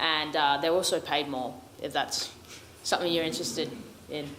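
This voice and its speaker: A woman talks at a fairly quick pace over noticeable background noise, with audible echo in the room. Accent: Australian. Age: young. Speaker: first-year military academy cadet. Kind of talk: Q&A panel answers.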